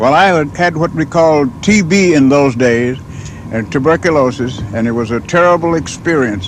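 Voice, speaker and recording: Lively intonation from a man with a fairly high pitch at a moderate pace, amid noticeable background noise. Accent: American. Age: 70s. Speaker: revival eyewitness. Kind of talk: testimony.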